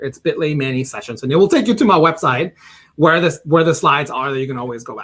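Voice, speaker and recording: Fairly quick and animated, a man with a fairly high voice speaks with ordinary pitch variation. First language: not English. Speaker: ed tech specialist, teacher trainer. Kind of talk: online presentation. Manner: fast.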